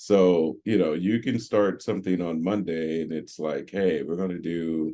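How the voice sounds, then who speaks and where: A man's very deep, dark and mellow voice with ordinary pitch variation, fairly slow and with hardly any pauses. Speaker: tech panelist. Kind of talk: panel discussion. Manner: careful articulation.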